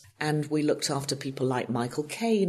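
A woman speaks with an English accent. Her pitch is very deep and low. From northwest England, Lancashire. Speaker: TV producer. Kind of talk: interview.

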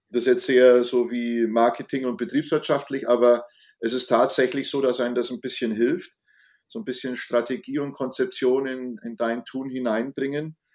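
A man's medium-pitched voice at a moderate pace, an unremarkable speaking voice. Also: fairly even intonation. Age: 50s. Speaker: climate activist and designer. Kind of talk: casual interview. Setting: video call.

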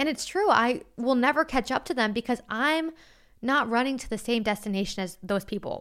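Fairly quick and fairly high in pitch, a woman talks in an ordinary speaking voice on a very clean recording with a silent background. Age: 20s. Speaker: solo podcast host. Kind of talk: casual monologue. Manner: conversational.

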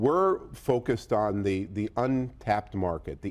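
An ordinary speaking voice belongs to a man with an American accent. His pitch is fairly low and his intonation is lively. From Boston area, US. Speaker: tech company CEO. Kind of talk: business interview. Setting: studio at stock exchange market site.

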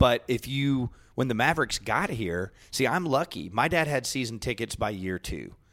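A man with an American accent and a plain, everyday voice talks at a moderate pace with lively intonation, in a very clean recording with a silent background. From Dallas, Texas. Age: 40s. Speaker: sports radio host. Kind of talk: casual chat.

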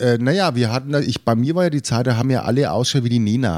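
A man talks at a fairly quick pace in a normal speaking voice of medium pitch. The recording is very clean with a silent background, and the sound is dry and close with no echo. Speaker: podcast co-host. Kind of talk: casual chat.

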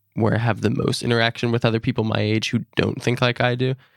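At a fairly quick pace, a man with an ordinary speaking voice talks at a medium pitch, recorded with a dry, close sound and no echo. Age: young. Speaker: college student. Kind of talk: interview.

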